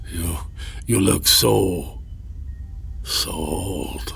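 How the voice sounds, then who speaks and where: A man puts on a character voice with a very deep, low pitch. Background noise is clearly heard. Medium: audio drama. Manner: halting, stammering.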